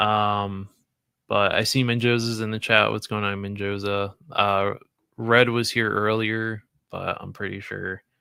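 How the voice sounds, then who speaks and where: A man speaks loudly at a fairly slow pace, in a fairly low pitch with a bright, sharp tone. His intonation is monotone and flat, and the recording is very clean with a silent background. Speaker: toy collecting streamer. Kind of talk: casual livestream chat. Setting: live stream.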